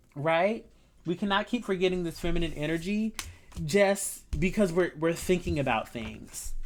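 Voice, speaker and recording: A woman's plain, everyday voice, fairly low in pitch, with ordinary pitch variation at a moderate pace. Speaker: tarot reader. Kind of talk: tarot reading. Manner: casual, conversational.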